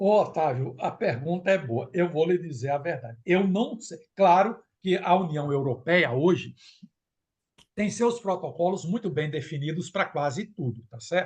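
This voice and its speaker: The man's voice is high in pitch, with lively intonation. He speaks at a fairly slow pace. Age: 70s. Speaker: professor and technical director of a producers' association. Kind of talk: interview. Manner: animated.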